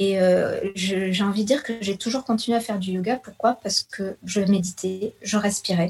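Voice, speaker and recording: A woman talks at a moderate pace with hardly any pauses, her voice somewhat breathy and medium in pitch. Her intonation stays fairly even. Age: 40s. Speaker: yoga teacher and nutritionist. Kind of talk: radio interview.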